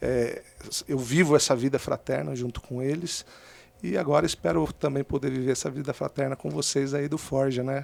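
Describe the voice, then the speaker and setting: The man's pitch is fairly high. He keeps a moderate pace and fairly even intonation. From Brazil, Minas Gerais (south, Itajubá) and São Paulo. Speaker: podcast guest. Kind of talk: testimony.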